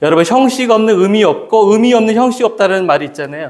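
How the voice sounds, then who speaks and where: A man talks with lively intonation at a high pitch, keeping a fairly quick pace. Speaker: pastor. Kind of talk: sermon. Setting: church.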